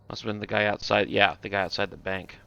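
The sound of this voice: A man with vocal fry and a bright, sharp tone talks fast at a fairly low pitch with fairly even intonation.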